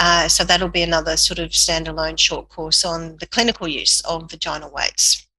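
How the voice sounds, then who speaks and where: A woman with an Australian accent speaks at a fairly low pitch and a moderate pace in monotone, flat intonation, with hardly any pauses. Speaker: physiotherapist and course educator. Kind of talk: podcast interview.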